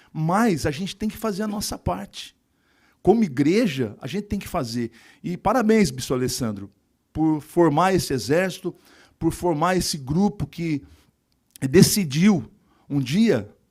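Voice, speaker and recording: On a very clean recording with a silent background, the voice moves at a fairly slow pace with long, frequent pauses and very wide pitch swings. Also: man, high pitch for a man. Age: 60s. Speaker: politician and evangelical pastor. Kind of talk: speech at graduation ceremony.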